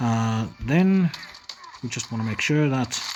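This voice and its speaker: Mumbling speech over noticeable background noise. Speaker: gaming youtuber. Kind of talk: gameplay commentary tutorial. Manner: hesitant, many fillers.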